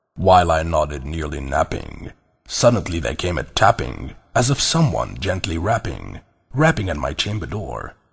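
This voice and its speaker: A man's very deep, low voice with very wide pitch swings, vocal fry and a moderate pace. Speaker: voice over actor. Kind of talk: movie trailer voice reading of a poem (audiobook style); poetry reading.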